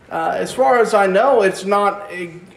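A high-pitched man at a fairly slow pace, with ordinary pitch variation and audible room echo. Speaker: preacher. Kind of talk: sermon. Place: church.

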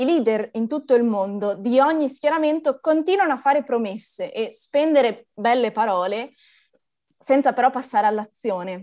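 Against a quiet background, a woman with a high pitch and a dark, mellow tone speaks at a moderate pace with lively intonation. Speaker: climate activist presenter. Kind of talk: formal introduction. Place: home room. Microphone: video call.

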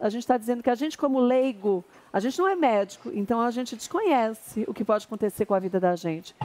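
High-pitched woman talking at a very fast pace with lively intonation and hardly any pauses. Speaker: TV show host. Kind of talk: live TV talk show commentary. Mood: serious, indignant. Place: studio. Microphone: headset.

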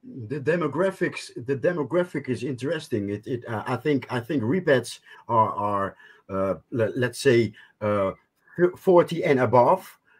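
Against a quiet background, a man speaks at a fairly slow pace with a somewhat breathy voice and lively intonation. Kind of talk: casual chat. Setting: video call. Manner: halting. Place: home room. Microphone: video call.

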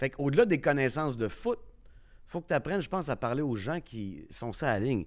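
Fairly quick, lively speech from a man at medium pitch, on a very clean recording with a silent background. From Quebec City. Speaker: sports radio host. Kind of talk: casual chat.

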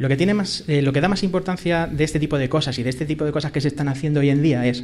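Light background noise sits behind a man's fairly high voice. His pitch varies in an ordinary way. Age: 30s. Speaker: podcaster, tech hobbyist; podcaster. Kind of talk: live podcast conversation. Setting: live event with audience. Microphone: studio mic.

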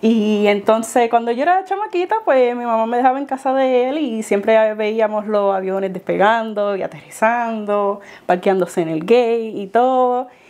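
A woman speaks at a moderate pace in a fairly high pitch, with ordinary pitch variation and hardly any pauses. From Puerto Rico, Dominican parents. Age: young. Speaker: former flight attendant, airport gate agent; guest. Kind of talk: interview. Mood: warm, smiling, reflective. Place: home room. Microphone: lapel.

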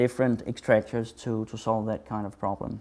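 A man is speaking. His tone is dark and mellow. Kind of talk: tutorial.

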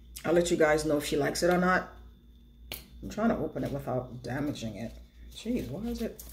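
A woman speaks very fast in a fairly low pitch, with vocal fry and lively intonation. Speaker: beauty and lifestyle vlogger; lifestyle vlogger. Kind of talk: casual chat. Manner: rambling conversational. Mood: reflective, earnest. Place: home room. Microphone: phone near.

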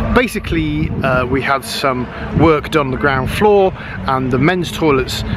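A man talks at a fairly quick pace. The sound is dry with no echo, with noticeable background noise. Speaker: vlogger. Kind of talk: casual vlog chat. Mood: earnest, animated. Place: open country. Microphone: phone near.

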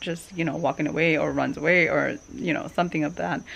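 In a plain, everyday voice, a woman speaks at a fairly low pitch with ordinary pitch variation. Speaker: travel vlogger. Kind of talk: casual vlog chat. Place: garden. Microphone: phone near.

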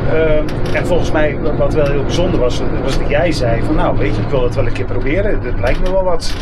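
Loud background noise fills the recording. Through it, a man talks at a fairly quick pace. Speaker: interviewee. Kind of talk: interview answer. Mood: reflective, personal story. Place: bus. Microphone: camera far.

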